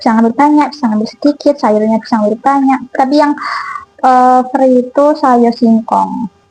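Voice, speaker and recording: This woman has a high pitch, fairly even intonation, and a moderate pace. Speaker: cooking vlogger. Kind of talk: casual vlog chat while cooking. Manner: casual, chatty. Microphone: new mic, sounds too quiet.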